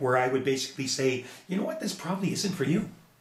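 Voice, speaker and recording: Pitch moves in an ordinary way. The room echo is audible and there is noticeable background noise. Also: man. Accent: Canadian. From Edmonton, Alberta, Canada. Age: 60s. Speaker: musician and business owner. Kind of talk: casual interview chat.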